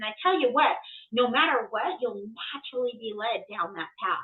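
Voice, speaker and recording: At a moderate pace, a woman speaks in an ordinary speaking voice, fairly high in pitch with ordinary pitch variation. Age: 50s. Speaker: medium and astrologer. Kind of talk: casual chat. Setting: podcast.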